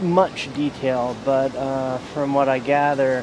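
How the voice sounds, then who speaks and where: Over noticeable background noise, a man speaks very slowly in a dry sound with no echo. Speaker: sailing vlogger. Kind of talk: casual vlog chat. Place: street. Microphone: phone near.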